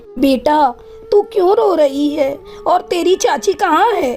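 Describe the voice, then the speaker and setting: A cartoonish character voice, female-sounding and extremely high-pitched, moves at a fairly slow pace with clear music in the background. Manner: gentle, motherly.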